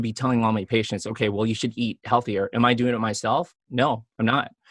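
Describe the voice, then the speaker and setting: Heard dry and close with no echo on a very clean recording with a silent background, a man talks with an American accent. He has a normal speaking voice, medium in pitch, with fairly even intonation. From US Midwest (Chicago), Filipino family. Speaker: physician. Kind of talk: interview.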